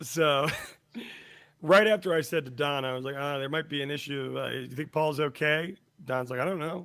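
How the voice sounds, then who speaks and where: At a fairly high pitch, a man speaks in an ordinary speaking voice with ordinary pitch variation. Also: moderate pace. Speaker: podcast co-host. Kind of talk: casual chat, storytelling.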